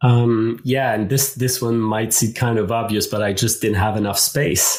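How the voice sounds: A man with a fairly low pitch, slightly mellow tone, little pitch movement and a moderate pace.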